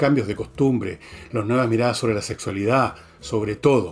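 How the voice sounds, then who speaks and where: A Chilean accent at a fairly quick pace with fairly even intonation. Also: man. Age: 70s. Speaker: commentator / online show host. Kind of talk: monologue commentary.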